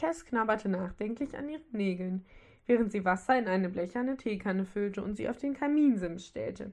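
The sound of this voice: The reading is delivered in an unforced reading voice.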